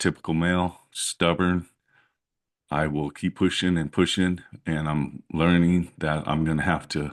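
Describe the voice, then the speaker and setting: Over a quiet background, a man with a very deep, low pitch talks at a fairly slow pace in a monotone, flat intonation. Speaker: electrician and vlogger. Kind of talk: personal vlog. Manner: hesitant, many fillers.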